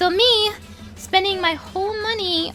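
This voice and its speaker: Shouting in a raised, projected voice at an extremely high pitch, a woman is heard over music in the background. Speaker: streamer and YouTuber. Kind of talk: vent session. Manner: fast; loud, yelling.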